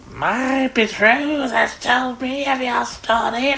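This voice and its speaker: A put-on character voice speaks at a fairly high pitch and a fairly slow pace. Clear background noise runs underneath. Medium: read story.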